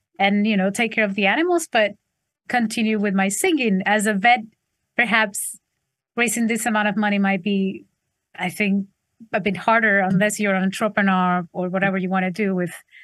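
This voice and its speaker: A woman of medium pitch speaks at a moderate pace with fairly even intonation, long, frequent pauses and a quiet background. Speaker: singer songwriter. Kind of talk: interview. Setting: video call.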